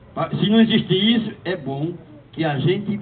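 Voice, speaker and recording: Over noticeable background noise, a man with a high pitch speaks fairly slowly, his pitch varying in an ordinary way. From Northeast Brazil, Paraíba. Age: 70s. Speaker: church lay speaker. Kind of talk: talk to parish community.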